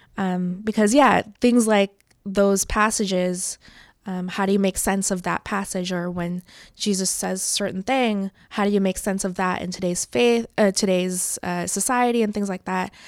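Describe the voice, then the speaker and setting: A woman talks at a moderate pace with medium pitch and fairly even intonation. The recording is very clean, with a silent background. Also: dry, close sound with no echo. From Toronto area, Canada. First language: not English. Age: 20s. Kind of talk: interview conversation. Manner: thoughtful, with filler words.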